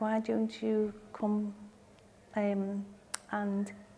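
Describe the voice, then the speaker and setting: In a Liverpool accent, a dark, mellow voice speaks with monotone, flat intonation. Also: woman. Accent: Scouse (Liverpool). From Liverpool, England. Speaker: brain haemorrhage survivor with aphasia. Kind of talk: personal testimony. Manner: halting, many fillers and restarts (aphasia); slow.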